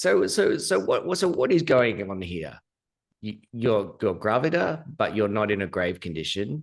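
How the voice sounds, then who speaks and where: Against a quiet background, a man with an Australian accent speaks at a medium pitch and moderate pace, his pitch swinging very widely. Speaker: podcast host, English teacher. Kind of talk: casual interview.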